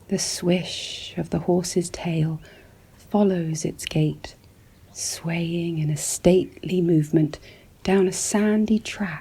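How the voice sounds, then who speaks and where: The speaker is soft-spoken. The pace is very slow. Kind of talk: ASMR relaxing description of landscape paintings. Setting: studio, close-mic ASMR. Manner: soft-spoken, slow, calming.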